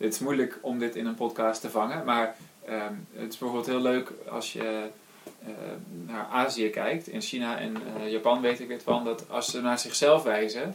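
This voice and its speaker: A man at medium pitch and a moderate pace, with fairly even intonation and noticeable background noise. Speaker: podcast host. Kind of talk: casual chat.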